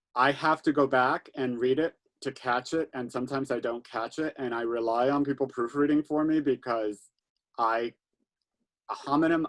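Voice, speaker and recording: A man talks at a moderate pace with a medium pitch and fairly even intonation. The sound is dry and close with no echo. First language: Spanish. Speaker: book channel host interviewing authors. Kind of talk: author interview.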